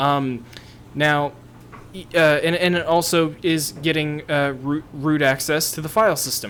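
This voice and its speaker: Fairly high-pitched male speech, fairly slow and fairly even in intonation, over noticeable background noise. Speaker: tech YouTuber. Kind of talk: tutorial. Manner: halting.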